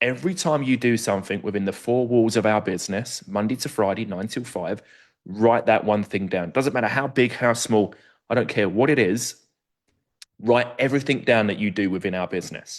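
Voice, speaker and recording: Medium pitch from a man, ordinary pitch variation, fairly quick pace and a quiet background. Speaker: recruitment consultant presenting a webinar. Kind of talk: webinar presentation. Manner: fast.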